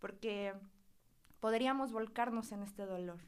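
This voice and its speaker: Speaking at a fairly slow pace, a woman is heard. Her intonation is monotone and flat. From Mexico, Huauchinango, Puebla. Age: 20s. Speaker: psychotherapist. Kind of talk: casual interview chat.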